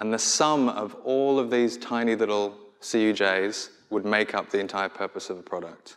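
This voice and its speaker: A man talks at a moderate pace with a fairly low pitch and fairly even intonation. He has an Australian accent. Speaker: product designer; conference speaker. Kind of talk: conference talk. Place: stage.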